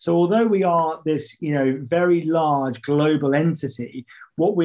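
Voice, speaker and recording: At a moderate pace, a man speaks with a British accent. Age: 30s. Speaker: fintech partnerships director. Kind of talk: interview. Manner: animated; hesitant, many fillers.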